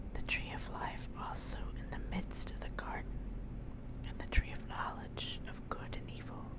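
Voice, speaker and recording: Someone whispers at a moderate pace amid noticeable background noise. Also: woman. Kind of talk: ASMR Bible reading. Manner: whispered.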